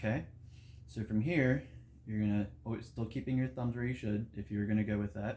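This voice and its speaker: A man talks at a fairly quick pace with a fairly low pitch and ordinary pitch variation. His voice is somewhat breathy, with a dark, mellow tone. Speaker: meditation and breathwork teacher. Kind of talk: tutorial. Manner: casual.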